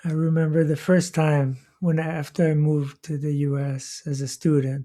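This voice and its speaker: In a very clean recording with a silent background, a man with a Quebec accent speaks at a fairly high pitch in a dark, mellow, somewhat breathy tone with monotone, flat intonation. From Quebec, Canada. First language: French. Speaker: podcast host. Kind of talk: casual chat. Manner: slow; clear.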